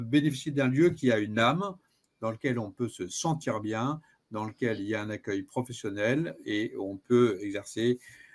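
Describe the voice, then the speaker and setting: The recording is very clean, with a silent background. The voice moves at a very slow pace with ordinary pitch variation. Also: man. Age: 60s. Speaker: personal development coach. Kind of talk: interview. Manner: hesitant, many filler sounds.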